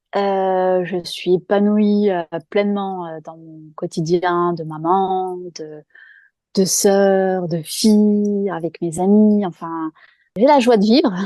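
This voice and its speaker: Over a quiet background, a woman with a dark, mellow tone speaks at a very slow pace, her intonation fairly even but her loudness swinging widely. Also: medium pitch for a woman. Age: 40s. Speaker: guest sharing personal experience. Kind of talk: testimony. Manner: hesitant, many fillers.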